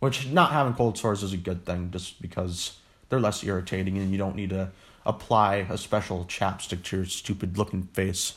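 Somewhat breathy and very deep, a man's low voice moves at a moderate pace on a very clean recording with a silent background. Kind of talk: casual monologue. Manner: halting, many pauses.

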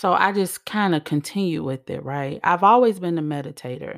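A woman speaks in an animated tone at a moderate pace. The recording is very clean, with a silent background. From Chicago, south side. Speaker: psychic medium. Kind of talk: casual monologue.

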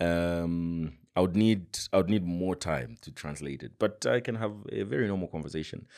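On a very clean recording with a silent background, a man talks at a moderate pace with a very deep, low pitch. His pitch variation is ordinary, and his loudness swings widely. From Zambia. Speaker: journalist. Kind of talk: casual interview conversation.

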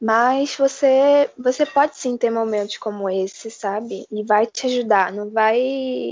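A woman speaks in an ordinary speaking voice, pitched fairly high, with fairly even intonation. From Brazil, Rio de Janeiro. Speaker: medical student. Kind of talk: interview.

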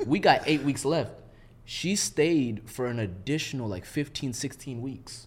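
A man's somewhat breathy, medium-pitched voice with an American accent, lively intonation and a fairly slow pace. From Minneapolis suburbs, Minnesota. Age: 20s. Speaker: military veteran. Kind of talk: casual chat.

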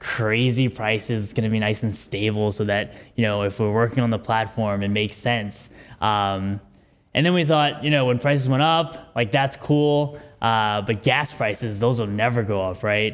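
This man talks at a moderate pace with medium pitch and ordinary pitch variation. He has a plain, everyday voice. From New York City. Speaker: nonprofit co-founder. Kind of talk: presentation. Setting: meetup with live audience.

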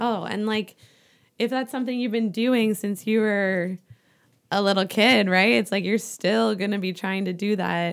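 At a moderate pace and medium pitch, a woman speaks with fairly even intonation. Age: 20s. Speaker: podcast guest. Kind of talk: casual chat.

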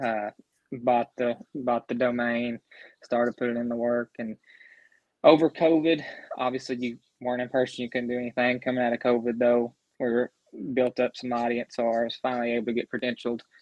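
Speaking fairly quickly with a Southern US accent, a man at medium pitch keeps a monotone, flat intonation broken by long, frequent pauses. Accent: Southern US, noticeable. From Grayson County, central Kentucky. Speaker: sports blogger and analyst. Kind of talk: casual sports chat.

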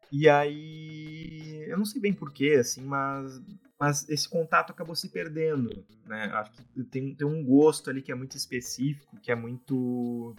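A man with an unremarkable speaking voice talks fairly slowly at a fairly high pitch, with ordinary pitch variation. His loudness swings widely. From Brazil, Porto Alegre. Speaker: indie game developer. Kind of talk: casual interview.

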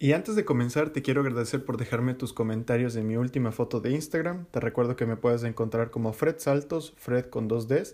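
Speaking at a fairly quick pace, a man has a medium-pitched voice with a dark, mellow tone. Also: ordinary pitch variation, hardly any pauses. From Ecuador, Quito. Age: 30s. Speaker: podcast host. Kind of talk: personal monologue.

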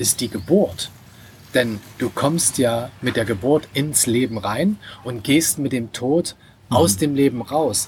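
The intonation is lively. The pace is very slow. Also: man. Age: 40s. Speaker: online entrepreneur. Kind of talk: casual chat. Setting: restaurant by the sea.

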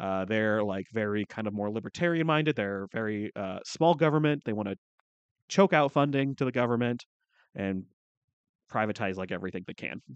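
With a slight Canadian accent, a man talks at a fairly quick pace, his fairly low voice rising and falling in lively intonation. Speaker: podcast co-host. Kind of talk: casual chat. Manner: joking, sarcastic.

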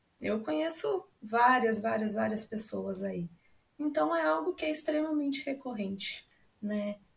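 This woman's voice sits fairly high and sounds somewhat breathy. She talks at a fairly slow pace with very wide pitch swings. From Brazil, Paraná (Londrina). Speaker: psychologist. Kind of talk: podcast interview.

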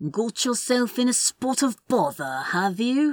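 A female-sounding, put-on character voice comes through high-pitched and fairly slow on a very clean recording with a silent background. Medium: read story. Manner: calm, cold.

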